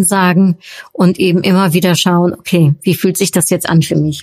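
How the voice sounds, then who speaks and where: This woman has a fairly low pitch and a somewhat breathy voice. Her intonation stays fairly even. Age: 40s. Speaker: podcast host and workshop coach. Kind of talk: solo podcast Q&A monologue. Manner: hesitant, many filler sounds.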